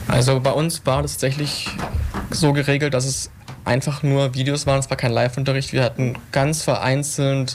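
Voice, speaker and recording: Against noticeable background noise, a man speaks fairly quickly in a monotone, flat intonation. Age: 20s. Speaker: young politician and student. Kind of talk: radio panel discussion.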